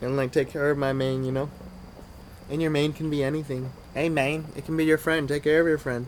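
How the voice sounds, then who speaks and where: A man mumbling at a fairly quick pace, monotone and flat, over noticeable background noise. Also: fairly high pitch for a man. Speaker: vlogger. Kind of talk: casual monologue to camera.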